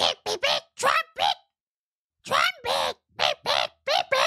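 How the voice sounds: Using a put-on character voice, a woman speaks fairly slowly at an extremely high pitch.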